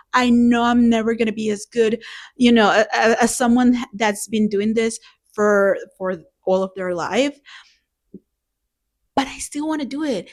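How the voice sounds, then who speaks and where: With a non-native accent, a woman with a fairly high pitch talks at a fairly slow pace, leaving long, frequent pauses. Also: ordinary pitch variation. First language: not English. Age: 30s. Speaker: beginner art vlogger. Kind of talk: casual vlog monologue. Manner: halting, repeats words.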